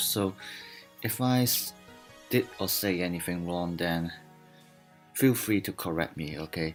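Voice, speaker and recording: Music plays in the background as a man speaks at a fairly slow pace. His pitch is very deep and low. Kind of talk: card game deck explanation. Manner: hesitant, many fillers.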